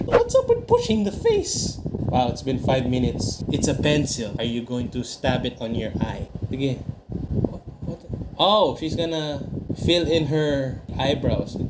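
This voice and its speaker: Over noticeable background noise, a man talks at a fairly slow pace in a fairly high pitch, with ordinary pitch variation. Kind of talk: comedic makeup video voiceover. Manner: joking, teasing.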